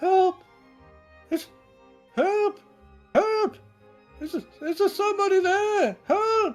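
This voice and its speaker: An extremely high, squeaky put-on character voice at a very slow pace, with long, frequent pauses and faint music in the background. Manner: pleading, calling for help.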